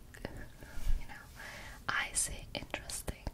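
Whispering, a woman speaks at a very slow pace. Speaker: ASMR content creator. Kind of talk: ASMR trigger word whispering. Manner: whispered. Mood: playful, relaxed. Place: home room. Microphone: studio mic.

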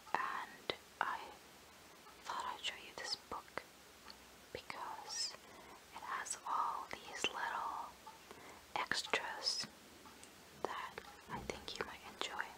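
Someone is whispering at a very slow pace. Long, frequent pauses break up the words. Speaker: ASMR creator. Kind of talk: ASMR book show-and-tell, casual talk to camera. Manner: whispered, soft-spoken.

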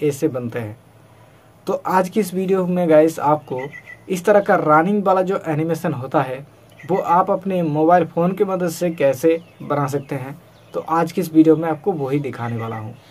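The man moves at a fairly slow pace, and his pitch varies in an ordinary way. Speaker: tutorial video maker. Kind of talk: tutorial. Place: home room. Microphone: phone near.

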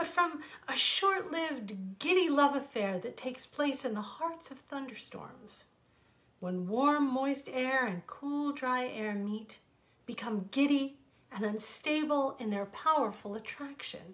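Her intonation lively, a woman with a high pitch speaks at a fairly slow pace. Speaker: storyteller. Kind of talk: reading a story aloud. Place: home room. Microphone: earbuds.

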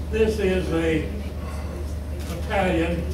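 A man with an American accent speaks in a very deep, low voice, with noticeable background noise and audible room echo. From Kentucky, USA. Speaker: war veteran. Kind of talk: interview answer. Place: meeting room. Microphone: camera far.

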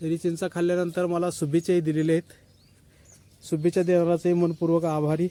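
In dry, close sound with no echo, a man speaks in a high, monotone voice with flat intonation. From Maharashtra, rural Sangli area (Dhalewadi village). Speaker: YouTuber. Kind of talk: casual vlog talk to viewers. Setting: outdoors on a farm.

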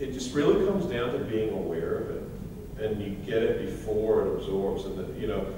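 Strong room echo and noticeable background noise surround a man who speaks at a fairly quick pace. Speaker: course instructor. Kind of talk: lecture. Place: hall. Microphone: camera far.

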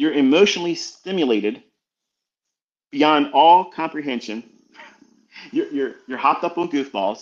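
A man talks at a moderate pace with vocal fry and a fairly high pitch. His pitch swings very widely. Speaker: trading educator. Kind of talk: motivational lecture on trading psychology. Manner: emphatic, lecturing, direct; conversational, with asides and laughs.

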